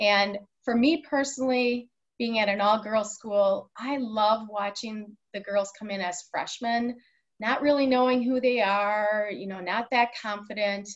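Against a quiet background, a woman with a normal speaking voice and an American accent speaks fairly slowly at a fairly high pitch with fairly even intonation. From Wisconsin (Waukesha); Wisconsin. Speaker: high school athletic director; podcast guest. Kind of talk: interview. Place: office. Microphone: webcam.

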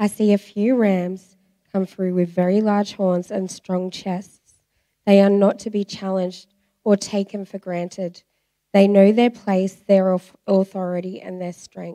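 A woman with an Australian accent speaks fairly slowly in a dark, mellow tone, her intonation monotone and flat, with big swings in loudness over a quiet background. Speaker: church member giving testimony; speaker. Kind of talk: reading aloud a prophetic message; testimony. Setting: church. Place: church. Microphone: handheld.

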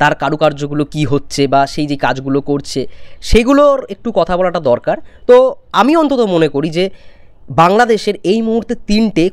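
A man's high-pitched voice with very wide pitch swings, dry with no echo, over a quiet background. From West Bengal, India. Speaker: YouTuber film commentator. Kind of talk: opinion vlog. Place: home room. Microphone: lapel.

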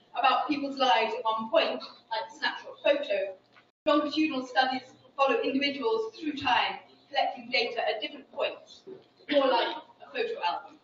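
Speaking at a fairly quick pace, a woman with a high voice is heard amid audible room echo and light background noise. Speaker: social science researcher. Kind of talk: lecture. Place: hall.

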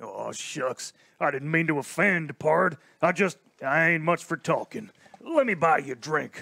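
A man puts on a drawling character voice, pitched fairly high for a man. He talks at a fairly slow pace with ordinary pitch variation. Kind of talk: comic western drawl. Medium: audio drama. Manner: drawling, folksy.

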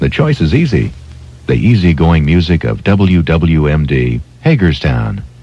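A man with an American accent speaks at a fairly slow pace in a very deep, low pitch, with lively intonation and a dry sound that has no echo. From United States, mid-Atlantic. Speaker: radio station announcer. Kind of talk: radio station ID and jingle, aircheck. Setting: radio broadcast. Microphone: old recording.

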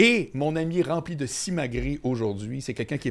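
His intonation is lively. The man talks at a fairly quick pace. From Quebec, Québec City. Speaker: podcast host, former comedy manager. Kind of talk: casual interview. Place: studio. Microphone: studio mic.

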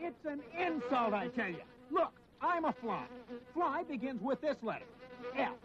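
A man's put-on character voice, extremely high-pitched and fairly bright, with big pitch swings. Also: moderate pace.

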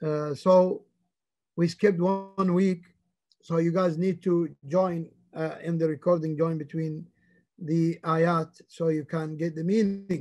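A man's high-pitched, dark, mellow voice, monotone and flat, at a very slow pace with long, frequent pauses. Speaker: religious teacher. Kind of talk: lecture. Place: home room. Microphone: video call.

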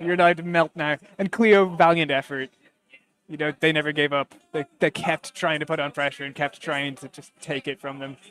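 A man with an Irish accent at a moderate pace, his loudness swinging widely. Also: dry, close sound with no echo. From Ireland. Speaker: esports commentator. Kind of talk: live commentary. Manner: animated.

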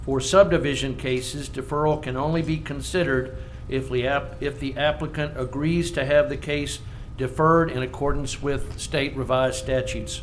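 Noticeable background noise sits behind a man with a fairly high pitch, talking at a moderate pace with fairly even intonation. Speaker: planning commission chairman. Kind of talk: public meeting chairing.

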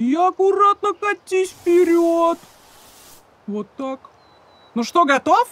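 Using a cartoonish character voice, a man talks slowly at an extremely high pitch, with a fairly bright tone and lively intonation.

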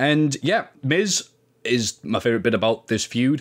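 A man with an English accent, recorded very cleanly against a silent background. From England. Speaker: wrestling podcaster. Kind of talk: casual chat. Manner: animated.

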